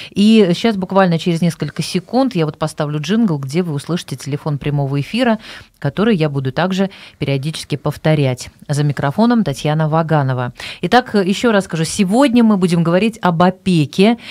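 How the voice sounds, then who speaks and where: This woman has a normal speaking voice, fairly low in pitch. She talks at a fairly quick pace. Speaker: radio host. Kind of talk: radio show hosting. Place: studio. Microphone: studio mic.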